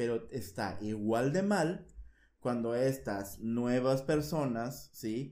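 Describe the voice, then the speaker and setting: A man's very slow, medium-pitched voice in a Mexican accent, dark and mellow in tone, with audible room echo. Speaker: podcast host. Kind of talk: casual chat.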